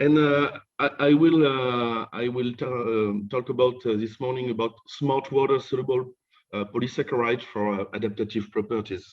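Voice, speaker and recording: A man speaks with a French accent at a moderate pace. His pitch is medium, and his intonation stays fairly even. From France (Normandy). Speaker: professor. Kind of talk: lecture. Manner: halting.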